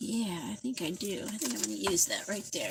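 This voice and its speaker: A fairly quick pace of talk, with noticeable noise in the background. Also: woman. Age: 60s. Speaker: craft livestreamer. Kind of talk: casual live craft tutorial. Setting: livestream at home.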